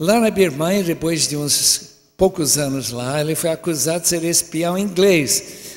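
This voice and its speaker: A man speaking at a fairly slow pace amid noticeable background noise. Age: 80s. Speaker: preacher. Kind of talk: sermon.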